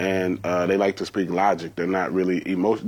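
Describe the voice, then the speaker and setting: In a quiet setting, a man delivers his words at a fairly quick speed. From Georgia, US South. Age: young. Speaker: stand-up comedian and YouTuber. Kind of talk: casual interview chat.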